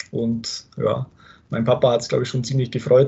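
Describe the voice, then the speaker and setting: A man speaks at a medium pitch in a somewhat breathy voice, his intonation monotone and flat. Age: 30s. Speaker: football referee. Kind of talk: interview.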